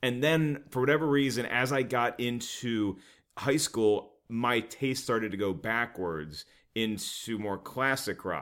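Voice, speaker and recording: A man with an American accent and an unremarkable speaking voice, medium in pitch, fairly slow, with ordinary pitch variation, in a very clean recording over a silent background. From US South. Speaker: comedian. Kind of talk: casual chat.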